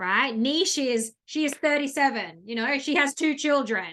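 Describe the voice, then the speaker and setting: A woman's high, bright, sharp voice with ordinary pitch variation. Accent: Australian. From Australia. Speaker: business coach. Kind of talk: online masterclass. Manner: fast; filler-heavy, um and you know.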